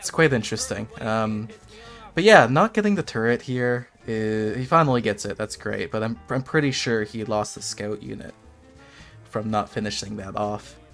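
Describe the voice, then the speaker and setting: Music plays in the background as a man speaks at a moderate pace, his medium pitch showing ordinary variation. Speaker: gamer. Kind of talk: gameplay commentary.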